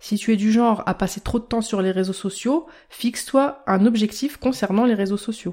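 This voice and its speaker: A woman speaks at a moderate pace in a fairly high pitch, her dark, mellow tone carrying ordinary pitch variation. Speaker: health podcaster and blogger. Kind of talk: scripted podcast monologue.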